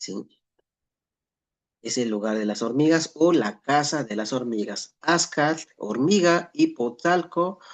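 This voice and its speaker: A man with a Mexican accent at a fairly slow pace, lively intonation. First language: Nahuatl (speaking Spanish). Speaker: Nahuatl language teacher. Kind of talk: lecture. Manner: halting with frequent self-corrections.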